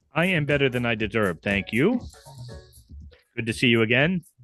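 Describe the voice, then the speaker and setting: A man at medium pitch with lively intonation and a moderate pace, music in the background. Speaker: podcast host. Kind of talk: casual podcast talk. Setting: studio.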